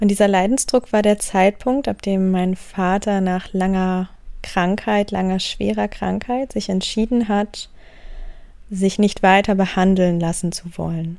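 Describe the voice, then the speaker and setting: In a very clean recording with a silent background, a woman speaks in a calm tone at a fairly slow pace. Her medium-pitched voice is dark and mellow, with fairly even intonation. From northern Germany, Wendland (Lower Saxony). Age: 20s. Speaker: spiritual coach and podcast host. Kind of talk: podcast monologue.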